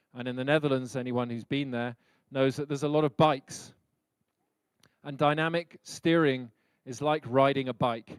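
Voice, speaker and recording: On a very clean recording with a silent background and a dry, close sound with no echo, a man with a British accent talks at a moderate pace with fairly even intonation. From Britain. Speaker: leadership speaker. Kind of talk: lecture.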